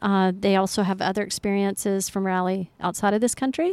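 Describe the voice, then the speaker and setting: A woman with an ordinary speaking voice at medium pitch and moderate pace, in a dry, close sound with no echo on a very clean recording with a silent background. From Colorado. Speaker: off-road rally organizer. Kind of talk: interview. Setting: outdoors overlooking the ocean.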